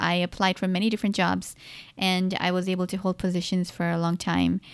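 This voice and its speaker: In a very clean recording with a silent background, a woman with a plain, everyday voice speaks at a moderate pace and medium pitch. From Pakistan, moved to US at age 11. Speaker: podcast host. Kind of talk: solo personal talk podcast. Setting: solo recording. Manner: casual, conversational.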